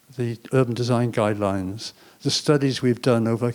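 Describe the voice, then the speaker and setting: A man with an English accent speaks at a medium pitch in a dark, mellow tone with fairly even intonation, on a very clean recording with a silent background. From England. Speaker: panelist, former city planner. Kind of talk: panel discussion.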